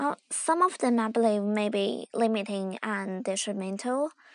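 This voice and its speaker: A woman with a Chinese accent speaks at a fairly high pitch with lively intonation. Her pace is fairly slow, and the sound is dry and close with no echo. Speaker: student video-channel host.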